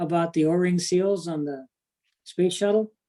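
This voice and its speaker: A dark, mellow tone at a moderate pace, with fairly even intonation. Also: woman. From US Midwest (Cleveland, St. Louis). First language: Indian language. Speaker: engineer introducing himself at a utility board meeting. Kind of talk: personal introduction at a public meeting. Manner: halting, many fillers.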